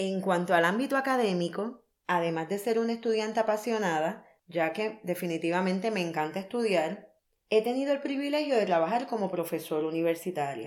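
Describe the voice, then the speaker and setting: A woman's plain, everyday voice at a medium pitch, with lively intonation and a fairly quick pace. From Puerto Rico. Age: 30s. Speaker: podcast host, life coach. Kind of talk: scripted monologue.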